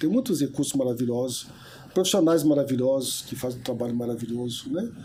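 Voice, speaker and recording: A man's very fast speech at a medium pitch, dark, mellow tone and ordinary pitch variation. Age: 70s. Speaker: therapist. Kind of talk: interview. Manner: hesitant fillers.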